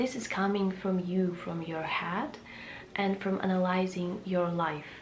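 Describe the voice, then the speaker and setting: Amid noticeable background noise and audible room echo, a woman with a non-native accent speaks at a fairly slow pace with fairly even intonation. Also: medium pitch for a woman. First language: Russian. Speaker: lifestyle vlogger. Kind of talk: casual vlog talk. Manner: halting with many fillers.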